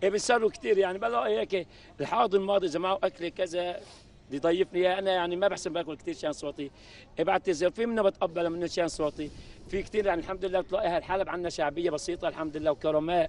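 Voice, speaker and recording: A man speaks at a very fast pace in a high pitch, with ordinary pitch variation. The sound is dry with no echo. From Aleppo, Syria. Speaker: coffee seller. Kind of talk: interview answer. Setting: outdoors. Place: street. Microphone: handheld.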